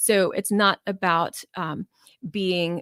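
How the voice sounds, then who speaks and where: A woman at medium pitch in a very clean, dry, close recording with a silent background and no echo. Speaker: physician podcast host. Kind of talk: solo health podcast talk. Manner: fast; casual with fillers.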